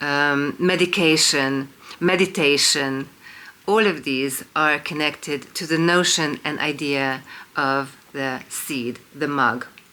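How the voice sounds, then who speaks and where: The speech comes at a very slow pace with a Hungarian accent. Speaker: independent researcher and video lecturer. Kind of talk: monologue lecture to camera. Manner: hesitant, many fillers (um, uh).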